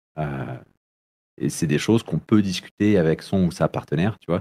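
With vocal fry and a dark, mellow tone, a man speaks at a moderate pace with ordinary pitch variation. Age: 30s. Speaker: youth social worker. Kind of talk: casual interview. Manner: halting, many hesitations.

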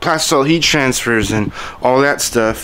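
A man speaks at a moderate pace, with light noise in the background. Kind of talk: casual vlog chat. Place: garage. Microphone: phone near.

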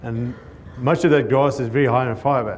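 With a southern African accent, a man talks at a fairly quick pace with fairly even intonation. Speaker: cattle rancher and grazing consultant. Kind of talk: conference talk. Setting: stage with audience. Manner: fast talker. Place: hall.

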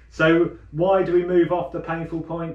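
A man is speaking. Room echo is audible. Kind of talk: tutorial. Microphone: camera far.

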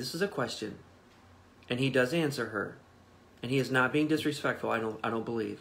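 A man talks at a fairly quick pace with lively intonation. Light background noise can be heard. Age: 40s. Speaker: pastor. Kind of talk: livestreamed Bible devotional. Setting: Facebook Live stream, off site. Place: home room.

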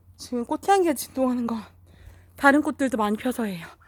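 High-pitched, a woman talks at a fairly quick pace with lively intonation. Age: 40s. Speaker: vlogger. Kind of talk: casual vlog narration. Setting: visiting mother's home, filming flowers.

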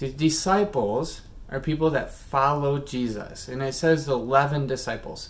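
This is a man's voice. He speaks at a fairly slow pace. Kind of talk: children's sermon. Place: home room. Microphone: phone near.

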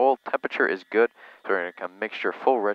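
Ordinary pitch variation runs through a man's very fast speech, which has a dry sound with no echo. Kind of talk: casual vlog commentary.

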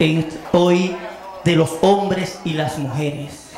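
A man talks while clearly audible background noise runs underneath. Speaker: stand-up comedian. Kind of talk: stand-up comedy joke telling. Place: bar. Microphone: handheld.

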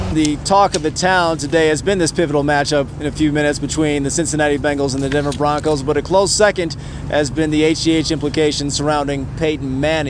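Fairly high-pitched man at a very fast pace with hardly any pauses, dry sound with no echo, noticeable background noise. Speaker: sports anchor and reporter. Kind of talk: TV sports news anchor reel. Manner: lively, analytical. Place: street. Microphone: lapel.

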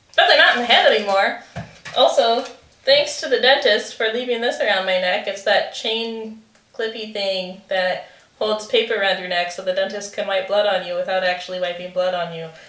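A woman speaks at a moderate pace with ordinary pitch variation amid audible room echo. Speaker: vlogger. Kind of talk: casual talk to camera. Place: kitchen. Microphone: camera far.

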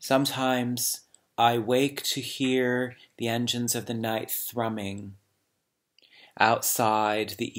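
The speech moves at a very slow pace in monotone, flat intonation. The background is quiet. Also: man. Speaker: poet reading aloud. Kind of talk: poetry reading. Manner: slow, measured, hushed; contemplative, lyrical. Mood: calm, reflective. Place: home room. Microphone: webcam.

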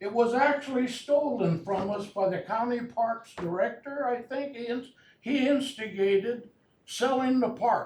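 Loud and at an extremely high pitch, a man speaks fairly slowly with ordinary pitch variation. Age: 80s+. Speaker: resident speaking at public meeting. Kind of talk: public comment at county meeting. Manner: halting.

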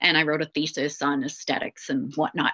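Over a quiet background, a bright, sharp voice comes through with a Canadian accent. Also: woman. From Canada. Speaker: research team member and parent of a patient. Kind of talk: webinar panel discussion. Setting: video call. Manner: hesitant, many fillers. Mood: warm, personal, light humour. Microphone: webcam.

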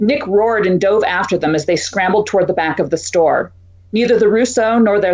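In a natural voice, someone reads aloud, the pitch moving in an ordinary way.

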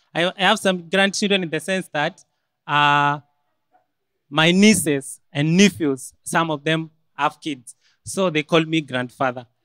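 With a Kenyan accent, a man talks fairly slowly in a bright, sharp tone at a fairly high pitch, with ordinary pitch variation and long, frequent pauses, his voice dry with no echo against a quiet background. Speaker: medical student; student storyteller. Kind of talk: storytelling. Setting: stage with audience. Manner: animated. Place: hall. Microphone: podium.

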